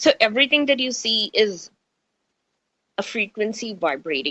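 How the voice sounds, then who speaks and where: A woman with a fairly high pitch and very wide pitch swings, bright, sharp tone, and an American accent, in a dry, close sound with no echo. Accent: Indian accent shifting toward American. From India. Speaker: radio host. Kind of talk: radio talk, spiritual chat. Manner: animated.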